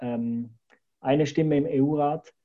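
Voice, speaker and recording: A man talks in a fairly high pitch. His pace is very slow. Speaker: podcast host. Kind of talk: interview.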